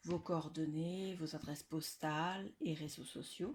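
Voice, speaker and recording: A woman with a fairly low pitch and ordinary pitch variation talks very slowly. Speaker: scrapbooking youtuber. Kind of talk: casual video presentation. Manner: loud; hesitant with fillers.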